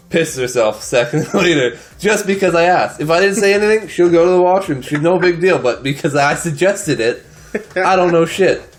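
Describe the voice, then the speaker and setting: A man talks with a high pitch and ordinary pitch variation. Noticeable background noise runs behind him. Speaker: podcast co-host. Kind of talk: casual chat.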